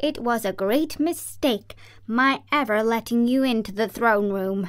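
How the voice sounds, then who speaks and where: This is a put-on character voice at a fairly slow pace. It sounds shaky. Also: woman. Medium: read story. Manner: meek, trembling.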